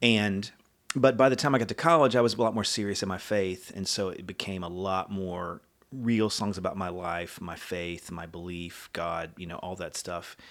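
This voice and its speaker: A man's very deep, low voice with an American accent, ordinary pitch variation, big swings in loudness and a moderate pace. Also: very clean recording, silent background. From Texas. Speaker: songwriter. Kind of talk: casual chat. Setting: home studio.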